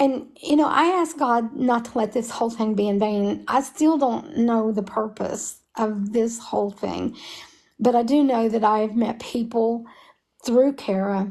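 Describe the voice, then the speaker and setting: In an Appalachian accent, a woman talks with a fairly high pitch and ordinary pitch variation. The recording is very clean, with a silent background. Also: fairly slow pace. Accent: Appalachian Kentucky. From Kentucky, Harlan. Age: 70s. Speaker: mother of a convicted prisoner. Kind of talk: interview.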